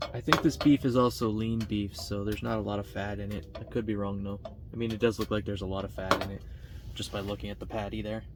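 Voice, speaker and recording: Noticeable background noise sits behind the recording. A man with a fairly low pitch talks at a very fast pace. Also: ordinary pitch variation. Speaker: outdoor vlogger. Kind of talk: casual vlog narration. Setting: outdoors.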